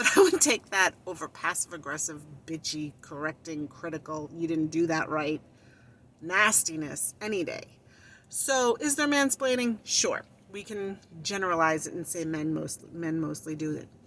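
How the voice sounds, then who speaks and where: A woman with an unremarkable speaking voice talks at a fairly low pitch with lively intonation. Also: moderate pace. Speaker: vlogger. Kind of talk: casual monologue.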